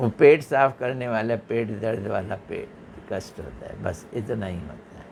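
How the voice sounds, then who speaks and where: A man's medium-pitched voice with ordinary pitch variation and big swings in loudness, over noticeable background noise. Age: 70s. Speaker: religious teacher. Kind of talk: religious discourse.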